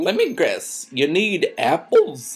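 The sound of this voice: A woman's slow put-on character voice, fairly low in pitch, with a slightly husky edge and very wide pitch swings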